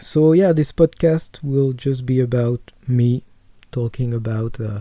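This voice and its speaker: With a strong French accent, the speaker uses a dark, mellow tone at a fairly slow pace and ordinary pitch variation. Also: man, medium pitch for a man. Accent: French accent, self-described as strong. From France. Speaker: wrestling podcaster. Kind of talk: casual podcast monologue. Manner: halting, many fillers and repetitions.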